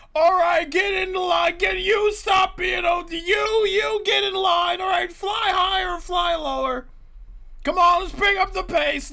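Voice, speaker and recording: Shouting at an extremely high pitch and a fairly slow pace, the speaker puts on a character voice. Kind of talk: brisk drill-sergeant style. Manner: bossy, shouting, commanding.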